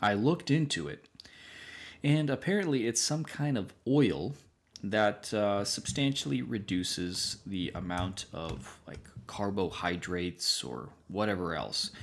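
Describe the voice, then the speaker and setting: A man speaks slowly-ish with a fairly low pitch, vocal fry, very wide pitch swings and big swings in loudness. The recording is very clean with a silent background. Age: 30s. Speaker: podcast host. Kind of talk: casual chat.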